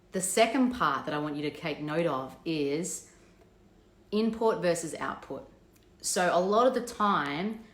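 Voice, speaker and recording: Her fairly low-pitched voice carries lively intonation, with audible room echo around it. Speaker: business coach. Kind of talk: live stream talk. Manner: fast.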